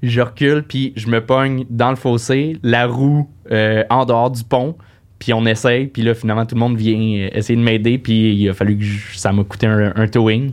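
A man speaks in a normal speaking voice at a medium pitch. His intonation is fairly even and his pace fairly slow. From Quebec, Saint-Eustache. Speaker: comedian. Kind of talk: casual chat.

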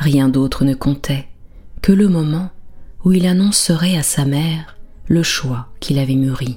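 The voice has a soothing, gentle tone and a fairly slow pace. Long pauses come often. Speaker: bedtime storyteller. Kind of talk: bedtime story narration, soft lulling fairy-tale telling. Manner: slow, soothing, gentle, calm; softly dramatic, shifts tone for characters.

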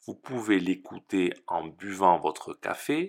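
On a very clean recording with a silent background, a man speaks at a very slow pace with very wide pitch swings. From southern France. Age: 30s. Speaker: French teacher. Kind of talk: podcast introduction for language learners. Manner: slow, clear.

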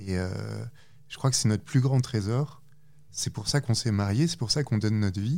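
The tone is dark and mellow. Delivery moves at a moderate pace. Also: man, medium pitch for a man, ordinary pitch variation. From France. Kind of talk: testimony. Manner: halting.

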